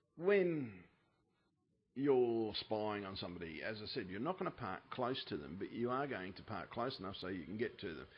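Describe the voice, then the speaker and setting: Speaking at a moderate pace, a man keeps a medium pitch but makes very wide pitch swings. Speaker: UFO video narrator. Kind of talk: casual commentary over screen images. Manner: softer than usual, mellow.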